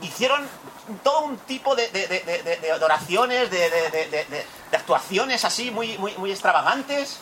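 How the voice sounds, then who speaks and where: Against noticeable background noise, a man with a high pitch uses a raised, projected voice, talking at a very slow pace with very wide pitch swings. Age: 40s. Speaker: pastor. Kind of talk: sermon. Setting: church retreat.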